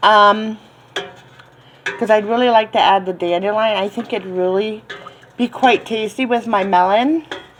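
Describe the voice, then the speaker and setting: A woman with an American accent speaks in a relaxed tone at a fairly slow pace, her pitch fairly high. Long, frequent pauses break up her speech, and noticeable background noise runs underneath. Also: ordinary pitch variation. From Florida, central (US South). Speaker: cooking and herbal tea vlogger. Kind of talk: casual tutorial. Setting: home kitchen. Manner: relaxed, many filler ums.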